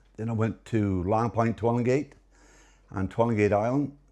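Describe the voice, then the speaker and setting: Fairly low in pitch, a man speaks with a Newfoundland accent and fairly even intonation. The background is quiet. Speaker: retired lighthouse keeper. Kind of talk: interview answer. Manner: hesitant, conversational.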